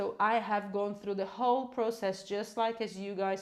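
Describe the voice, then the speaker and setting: A woman with a Portuguese accent talks at a moderate pace in a medium pitch. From Brazil. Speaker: English teacher. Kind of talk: live online class. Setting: livestream. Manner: animated.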